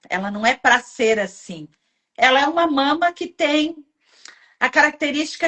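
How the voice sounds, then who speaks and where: A woman's lively intonation at a fairly slow pace. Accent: Italian-Brazilian. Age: 60s. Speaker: live show host. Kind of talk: casual chat. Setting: live stream.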